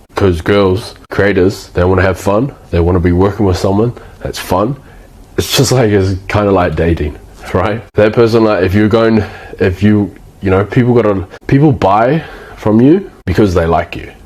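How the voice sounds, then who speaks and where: Noticeable background noise runs under a man speaking with a New Zealand accent. His fairly low pitch varies in an ordinary way, at a moderate pace. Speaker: agency owner / business coach. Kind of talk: casual talking-head tutorial. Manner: casual, with frequent false starts and fillers.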